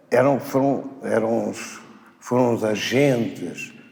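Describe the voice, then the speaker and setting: A man's voice carries audible room echo. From Portugal, Alentejo. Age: 70s. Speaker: retired doctor. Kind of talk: testimony.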